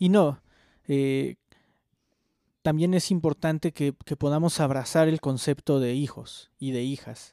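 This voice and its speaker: Dry and close with no echo, the very clean recording over a silent background carries a dark, mellow tone at a fairly slow pace with fairly even intonation. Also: man. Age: 30s. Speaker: podcast co-host. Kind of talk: casual chat.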